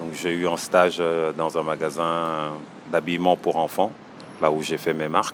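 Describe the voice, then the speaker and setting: In monotone, flat intonation, a man speaks at a fairly slow pace with a very deep, low pitch. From Senegal. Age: 30s. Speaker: small business owner. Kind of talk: interview. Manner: hesitant, many fillers.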